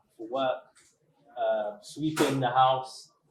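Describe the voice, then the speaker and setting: A man with a strong British accent. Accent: thick accent, English (UK). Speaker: restaurant owner. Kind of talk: interview.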